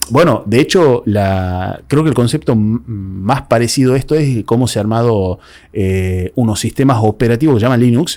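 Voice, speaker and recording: A man with a Tucumán accent speaks at a moderate pace and medium pitch, with ordinary pitch variation. His tone is dark and mellow, and his loudness stays very even. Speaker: podcast host. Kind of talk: casual interview.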